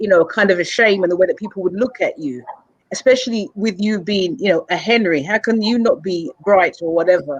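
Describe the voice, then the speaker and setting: Fairly quick pace, lively intonation, with an English accent. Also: woman, medium pitch for a woman. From England. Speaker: mentor and speaker. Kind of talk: interview. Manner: halting, with repetitions.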